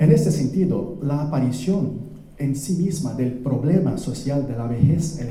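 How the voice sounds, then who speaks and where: A man speaks at a fairly high pitch. Audible room echo and noticeable background noise surround him. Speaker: anthropology professor. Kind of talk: lecture.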